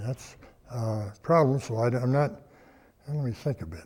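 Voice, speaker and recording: A man speaks with an American accent at a medium pitch. His pace is fairly slow. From Colorado, USA. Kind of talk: oral history interview answer. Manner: hesitant, halting.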